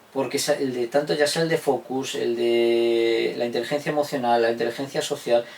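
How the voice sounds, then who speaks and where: Against noticeable background noise, a man speaks at a medium pitch and a moderate pace, with fairly even intonation and hardly any pauses. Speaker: historian and teacher. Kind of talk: interview answer.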